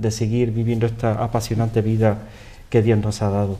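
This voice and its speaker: A man speaks at moderate speed in a dark, mellow tone that is somewhat breathy. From Andalusia, Spain (Cantillana, Seville). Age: 50s. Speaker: interview guest. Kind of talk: interview. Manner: halting, many repetitions.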